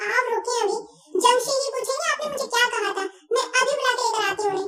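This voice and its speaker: A squeaky, whiny put-on character voice that sounds female runs at a fairly quick pace, pitched extremely high for a woman, with ordinary pitch variation. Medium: fan dub. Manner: childish, whiny.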